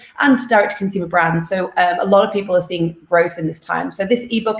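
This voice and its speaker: A woman with a British accent speaks at a very fast pace. Her medium pitch shows ordinary variation. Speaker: livestream host, content manager. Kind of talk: live stream intro. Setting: live stream from home. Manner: casual.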